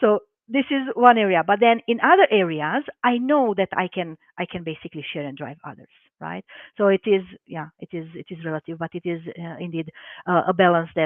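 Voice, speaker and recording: With a Romanian accent, a woman speaks at a fairly low pitch. She talks at a fairly quick pace with lively intonation. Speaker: life coach and hypnotherapist. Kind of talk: live webinar interview.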